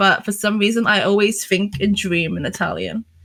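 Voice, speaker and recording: Bright and sharp in tone, a woman speaks at medium pitch and a moderate pace with ordinary pitch variation. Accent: London. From London, England. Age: 20s. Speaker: streamer and circus performer. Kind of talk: interview. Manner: halting.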